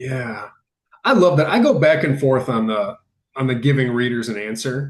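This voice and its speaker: A man speaks at a medium pitch with a somewhat breathy quality. His pitch varies in an ordinary way. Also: moderate pace. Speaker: podcast host. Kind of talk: casual interview conversation.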